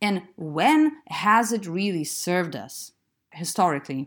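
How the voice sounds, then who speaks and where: A woman speaks with a Lithuanian accent. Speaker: podcast host. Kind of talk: solo podcast monologue.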